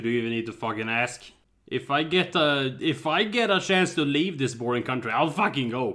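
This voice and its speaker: Fairly quick speech from a man with a Swedish accent, fairly high in pitch and lively in intonation. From Sweden. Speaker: podcast co-host. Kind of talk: casual chat. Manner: animated.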